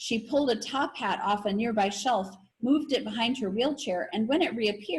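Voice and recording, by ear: Pitch shows ordinary variation. Someone is reading aloud in a natural voice.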